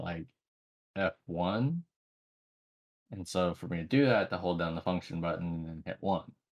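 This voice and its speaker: A man's very deep, low voice at a moderate pace, with ordinary pitch variation and a quiet background. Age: 30s. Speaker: podcast co-host. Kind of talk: casual chat.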